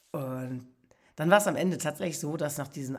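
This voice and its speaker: With vocal fry and a very deep, low pitch, a woman speaks in an animated tone using ordinary pitch variation. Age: 60s. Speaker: podcast host, motivational speaker. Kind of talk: personal storytelling monologue.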